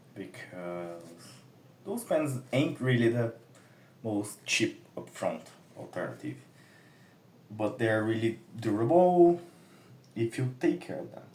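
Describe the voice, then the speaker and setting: With a Brazilian Portuguese accent, a man talks at a very slow pace in a medium-pitched, somewhat breathy voice, his intonation lively, his loudness swinging widely, and long pauses coming often. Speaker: comic artist. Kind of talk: casual tutorial while drawing. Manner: casual, halting.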